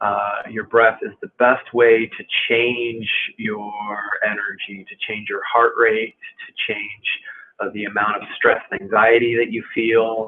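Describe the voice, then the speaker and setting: A soft-spoken man talks at a fairly slow pace and medium pitch. His intonation is monotone and flat, but his loudness swings widely. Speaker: movement and stretching instructor. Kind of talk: guided movement class. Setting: live stream. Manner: halting, many fillers.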